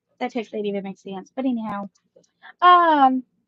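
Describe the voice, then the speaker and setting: A woman talks in an American accent with ordinary pitch variation. The sound is dry and close, with no echo. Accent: Mississippi twang, toned down. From US South, Mississippi. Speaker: live-stream vlogger. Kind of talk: casual chat. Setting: home live stream with kids around. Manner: deliberately more professional.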